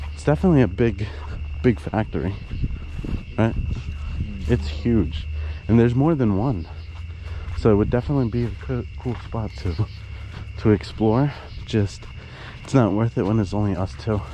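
A man's fairly low voice at a moderate pace, with long, frequent pauses, a dry sound with no echo and light background noise. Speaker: vlogger exploring. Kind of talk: casual vlog chat. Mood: cautious, slightly nervous. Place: open country. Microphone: phone near.

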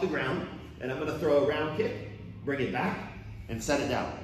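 Light background noise and audible room echo around a man speaking. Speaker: karate instructor. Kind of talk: live class coaching instructions. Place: gym. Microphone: earbuds.

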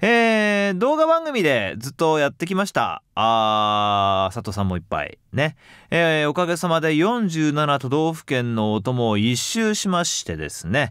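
In a very clean recording with a silent background, a man speaks fairly slowly at a fairly high pitch, with very wide pitch swings and hardly any pauses. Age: 40s. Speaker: voice actor hosting a talk show. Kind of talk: casual chat.

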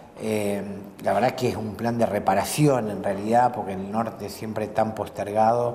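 In a plain, everyday voice, a man speaks at a moderate pace with a fairly low pitch and fairly even intonation over light background noise. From Argentina, Santa Fe province. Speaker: provincial legislator; interviewee. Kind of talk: casual interview over a meal. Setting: restaurant. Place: cafe.

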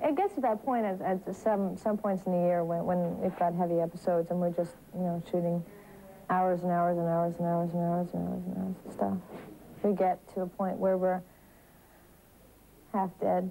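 A woman's fairly low voice with fairly even intonation and long, frequent pauses, over music in the background. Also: moderate pace. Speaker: actress on a TV series. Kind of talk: interview answer. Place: home room.

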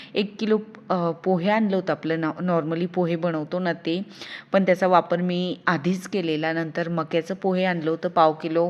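Fairly low in pitch, a woman's voice stays monotone and flat in intonation. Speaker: lifestyle vlogger. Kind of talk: casual vlog narration. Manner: speaking louder than usual.

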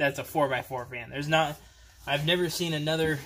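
A man speaks with a bright, sharp tone. Light background noise can be heard. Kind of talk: casual vlog chat. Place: garage. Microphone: phone near.

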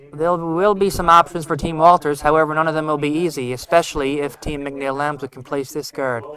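This man has a normal speaking voice, fairly high in pitch. He talks at a fairly quick pace with fairly even intonation. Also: big swings in loudness. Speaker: curling skip, guest commentator. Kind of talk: live curling commentary. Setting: broadcast booth. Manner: relaxed, casual, thoughtful.

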